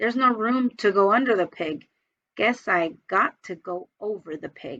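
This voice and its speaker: A woman puts on a raspy character voice at medium pitch. She keeps a moderate pace in a dry, close sound with no echo. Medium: read story. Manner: folksy cowboy talk.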